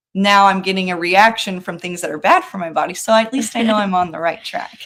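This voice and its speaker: A woman with a normal speaking voice talks at a fairly quick pace, her pitch medium and her intonation fairly even. Her loudness swings widely. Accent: American. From California. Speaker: daughter-in-law guest sharing her experience. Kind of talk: casual chat.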